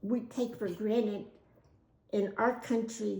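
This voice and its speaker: A woman's fairly high, somewhat breathy voice with a dark, mellow tone, monotone, flat delivery and a very slow pace. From United States. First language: Spanish. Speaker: oral history interviewee. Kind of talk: interview answer.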